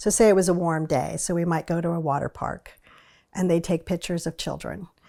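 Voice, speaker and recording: In an American accent, a woman speaks at a fairly quick pace with fairly even intonation, a fairly low pitch, a dark, mellow tone and vocal fry, on a very clean recording with a silent background. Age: 60s. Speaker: retired newspaper reporter. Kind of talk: oral history interview. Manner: conversational, some hesitations.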